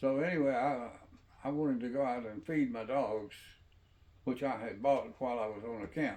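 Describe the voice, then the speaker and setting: A man with a Mississippi accent speaks at a moderate pace and medium pitch, with ordinary pitch variation. He leaves long, frequent pauses. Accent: Southern US, Mississippi. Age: 80s+. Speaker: storyteller. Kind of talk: personal storytelling. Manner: halting.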